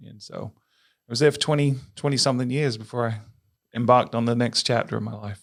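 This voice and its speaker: In a very clean recording with a silent background, a man with an American accent talks at a fairly quick pace at medium pitch, his intonation fairly even but his loudness swinging widely. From England. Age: 40s. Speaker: tourism marketing executive. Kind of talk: podcast interview.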